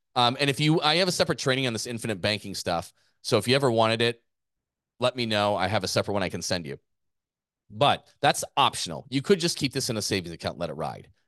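Very wide pitch swings fill a man's very fast speech at a medium pitch, with a dry, close sound with no echo and a quiet background. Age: 40s. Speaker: gym owner and business coach podcast host. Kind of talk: business podcast presentation.

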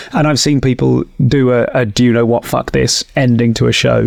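In a British accent, a man speaks at a moderate pace. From UK. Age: 40s. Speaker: stand-up comedian and podcast host. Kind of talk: casual interview chat.

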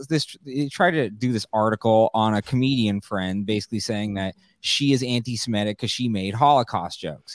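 A man's normal speaking voice with an American accent, moderate in pace and ordinary in pitch variation, dry and close with no echo on a very clean recording with a silent background. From California. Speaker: comedian and documentary filmmaker. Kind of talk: casual interview chat.

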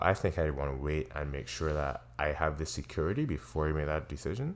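A man speaks in a very deep, low voice at a fairly quick pace. His pitch varies in an ordinary way. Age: young. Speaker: podcast co-host. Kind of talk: casual chat.

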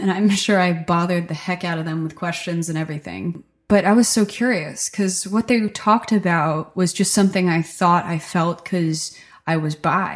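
A woman with an ordinary speaking voice talks at a moderate pace with ordinary pitch variation. The recording is very clean, with a silent background. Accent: American. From New Jersey, rural Delaware River town. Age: 20s. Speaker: musician. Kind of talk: casual interview monologue.

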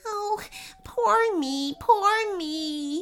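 An extremely high-pitched, put-on character voice. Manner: wailing, self-pitying, then overjoyed.

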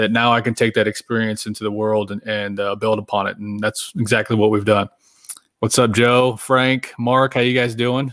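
A man with an American accent, an unremarkable speaking voice, medium pitch and fairly even intonation. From Oklahoma, small town. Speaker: military veteran and author. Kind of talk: casual interview. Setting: video call.

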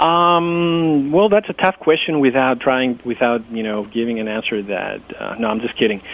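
With a Greek accent, a man speaks at a medium pitch and a moderate pace, his intonation lively and his delivery with hardly any pauses. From Greece (Athens). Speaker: domain investor and website developer. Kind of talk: interview. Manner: hesitant, many fillers.

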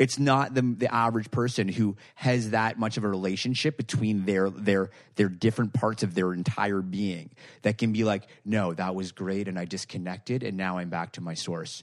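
Moderate pace, ordinary pitch variation and a normal speaking voice from a man, over a quiet background. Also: fairly low pitch for a man. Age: 30s. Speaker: author and anxiety speaker. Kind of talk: casual chat. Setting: in person, host's apartment.

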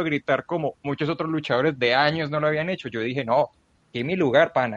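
A man with a normal speaking voice, fairly high in pitch, at a moderate pace with ordinary pitch variation, in a dry, close sound with no echo and a quiet background. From Colombia. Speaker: wrestling journalist. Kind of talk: casual chat.

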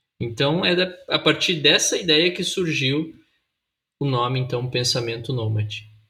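A man talks at a fairly slow pace with a fairly high pitch and ordinary pitch variation. It is a normal speaking voice. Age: 20s. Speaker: pastor and podcast co-host. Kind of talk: casual chat.

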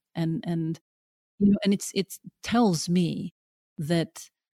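Her voice somewhat breathy and fairly low, a woman speaks in a dark, mellow tone with fairly even intonation, the sound dry and close with no echo. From Norway (Oslo), Pakistani-Afghan family. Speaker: documentary filmmaker. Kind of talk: interview conversation. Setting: remote call over the internet. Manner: repetitive, halting starts. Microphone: spotty audio, sound problems.

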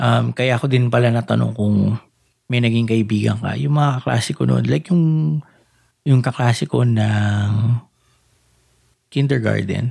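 The voice is dark, mellow and somewhat breathy, moving at a fairly slow pace with long, frequent pauses. Pitch varies in an ordinary way, and loudness stays very even. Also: man, medium pitch for a man. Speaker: podcast host. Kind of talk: casual chat.

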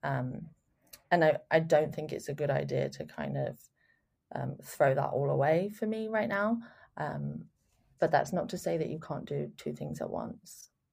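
A woman speaks with a London accent. Her delivery has long, frequent pauses. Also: moderate pace. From England, London. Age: 20s. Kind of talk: interview. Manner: hesitant, many fillers.

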